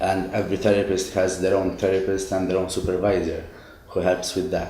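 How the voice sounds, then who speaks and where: A man's very deep, low voice with a dark, mellow tone, monotone, flat intonation, very even loudness and a fairly quick pace, in audible room echo. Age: 20s. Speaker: psychotherapist in training. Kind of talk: interview.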